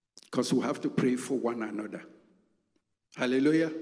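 This is a man speaking with a Nigerian accent. His pitch is medium. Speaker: pastor. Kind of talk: sermon. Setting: church.

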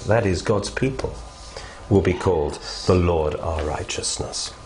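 Noticeable background noise fills the clip. Through it, a man speaks at a moderate pace. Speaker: Bible teacher. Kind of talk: fervent prayer. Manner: earnest, fervent.

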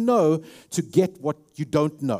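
A man in a South African accent, with a dark, mellow tone and lively intonation, in a very clean recording with a silent background. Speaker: pastor. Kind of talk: sermon. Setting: church.

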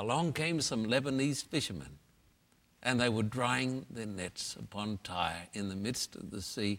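Recorded very cleanly over a silent background, a man with an Australian accent speaks at a fairly slow pace and a fairly low pitch, his intonation lively. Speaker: pastor and evangelist. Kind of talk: interview.

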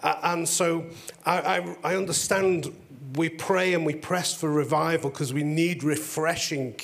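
A man with an English accent speaks at a high pitch and a fairly slow pace. His intonation stays fairly even over noticeable background noise. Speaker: pastor. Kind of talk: testimony. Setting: stage with audience.

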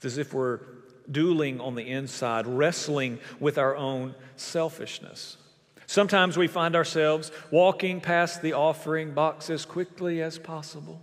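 A man talks in a plain, everyday voice, fairly high in pitch. His pace is moderate and his intonation fairly even. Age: 30s. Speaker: pastor. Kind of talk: sermon. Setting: church.

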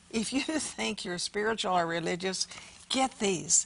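A woman talks at a fairly slow pace with vocal fry. Her intonation is lively. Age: 80s+. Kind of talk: talk show with religious testimony.

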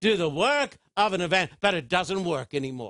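In an American accent, a man speaks at a moderate pace with a high pitch and lively intonation. His tone is bright and sharp over a quiet background. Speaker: preacher. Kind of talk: sermon.

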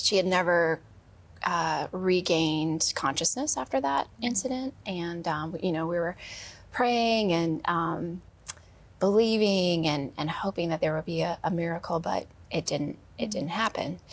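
A woman's fairly low-pitched voice, a normal speaking voice, at a fairly slow pace with ordinary pitch variation. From Wisconsin. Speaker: guest sharing grief story. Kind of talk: testimony. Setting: studio.

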